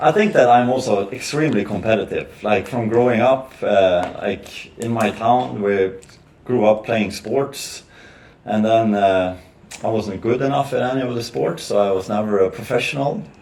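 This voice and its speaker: A man with a medium pitch and ordinary pitch variation talks at a moderate pace, with noticeable noise in the background. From northern Sweden. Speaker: podcast guest, businessman. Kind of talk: casual chat. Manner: halting, many fillers.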